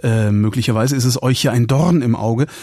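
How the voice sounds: At a moderate pace, a man talks at medium pitch with a slightly mellow tone and a slightly husky edge.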